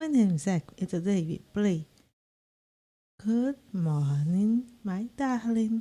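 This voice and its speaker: A woman with a medium pitch and a dark, mellow tone talks at a very slow pace, somewhat breathy, with lively intonation. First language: not English. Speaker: vtuber gaming streamer. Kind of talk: casual gameplay stream; reading aloud.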